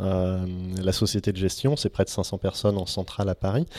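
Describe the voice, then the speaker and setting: This man has a very deep, low pitch and a dark, mellow tone. He speaks at a moderate pace. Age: 30s. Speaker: venture capital investor. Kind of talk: interview. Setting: office. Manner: hesitant, frequent fillers.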